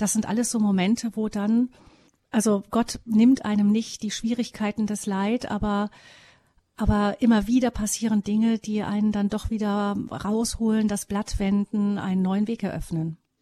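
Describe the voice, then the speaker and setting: Against a quiet background, a woman speaks at a moderate pace in a fairly high, somewhat breathy voice with a dark, mellow tone. Her intonation is monotone and flat, and the sound is dry and close with no echo. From West Germany. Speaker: radio host. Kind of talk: radio interview. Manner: formal.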